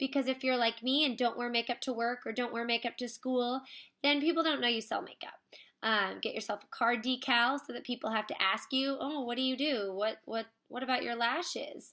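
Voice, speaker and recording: A woman speaks at a fairly quick pace in a high, bright, sharp voice with fairly even intonation over a quiet background. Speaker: makeup direct-sales consultant. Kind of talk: tutorial. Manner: fast. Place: home room. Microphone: webcam.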